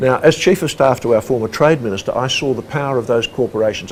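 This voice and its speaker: Someone with an Australian accent talks at a very fast pace with ordinary pitch variation, over noticeable background noise. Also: man. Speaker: former human rights commissioner. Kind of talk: interview.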